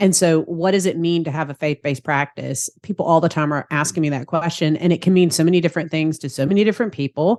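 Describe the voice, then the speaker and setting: In a Southern accent, a woman speaks with a fairly low pitch and ordinary pitch variation, the sound dry and close with no echo against a quiet background. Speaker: therapist and practice consultant. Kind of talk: podcast interview.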